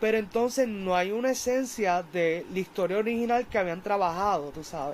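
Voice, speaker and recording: A man's high-pitched voice at a fairly slow pace. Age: 20s. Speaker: film reviewer YouTuber. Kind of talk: film review monologue. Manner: casual, animated.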